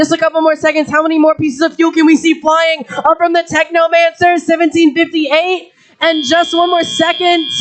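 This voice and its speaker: Extremely high-pitched, a woman speaks fairly quickly in an animated tone with very even loudness. Noticeable background noise is present. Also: hardly any pauses. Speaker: event emcee. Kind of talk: live commentary.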